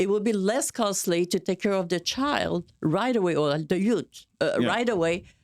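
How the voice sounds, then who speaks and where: A woman with a French-Canadian accent, medium pitch and lively intonation, at a moderate pace with very even loudness, on a very clean recording with a silent background. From Montreal, Quebec, Canada. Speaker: political candidate. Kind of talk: conversational interview talk.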